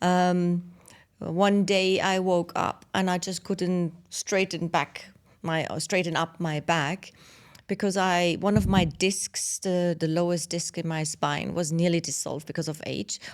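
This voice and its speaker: In a very clean recording with a silent background, a woman talks at a fairly slow pace with fairly low pitch and monotone, flat intonation. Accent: German. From Germany. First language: German. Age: 50s. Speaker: podcast co-host, business founder. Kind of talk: casual chat. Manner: hesitant, many fillers.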